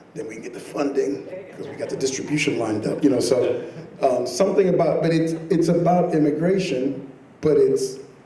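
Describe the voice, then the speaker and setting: Speaking at a fairly quick pace, a man is heard with audible room echo. Noticeable background noise runs underneath. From Caribbean. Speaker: filmmaker. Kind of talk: panel discussion. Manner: animated.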